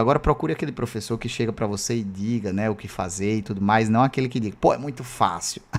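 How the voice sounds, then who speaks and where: The speaker is a man with a medium-pitched voice. He talks at a fairly quick pace with ordinary pitch variation. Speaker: math teacher. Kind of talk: live online lecture. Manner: fast; casual, filler-heavy.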